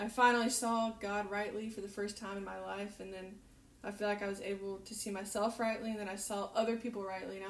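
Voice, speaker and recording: There is audible room echo as a woman with an American accent speaks. She keeps a fairly quick pace at a medium pitch. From US South, North Carolina. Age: 20s. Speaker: missionary. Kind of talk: casual interview chat. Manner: animated.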